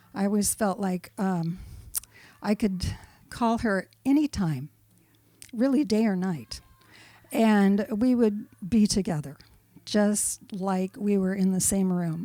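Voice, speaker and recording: Her voice is dark and mellow, with a medium pitch. The woman speaks at a very slow pace, with long, frequent pauses. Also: ordinary pitch variation. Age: 70s. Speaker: eulogy speaker at a memorial. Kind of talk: eulogy. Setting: memorial service. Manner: halting.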